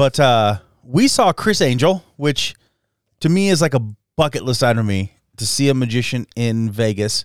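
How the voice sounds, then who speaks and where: With an American accent, a man speaks in a normal speaking voice at a medium pitch. His pace is moderate and his intonation lively. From southern Idaho, Jerome. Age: 40s. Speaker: podcast host. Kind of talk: casual chat.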